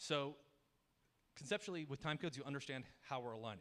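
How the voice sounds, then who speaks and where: A man speaks at a very fast pace. His pitch is fairly high for a man, with ordinary variation. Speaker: software engineer giving a tech talk. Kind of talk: conference talk with slides.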